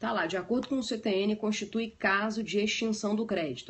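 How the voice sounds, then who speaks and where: Medium in pitch, this woman's voice is somewhat breathy. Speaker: law teacher. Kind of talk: lecture.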